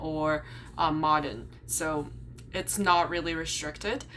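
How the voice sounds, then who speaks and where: Speaking fairly slowly with a Chinese accent, a woman has a fairly low pitch, with audible room echo around her. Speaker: YouTuber and graduate student. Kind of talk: vlog explainer. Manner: casual, some filler words.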